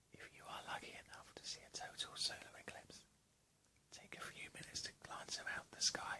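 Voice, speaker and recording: A man is whispering. His pace is moderate. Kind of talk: ASMR relaxation whisper video. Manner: whispered, relaxing.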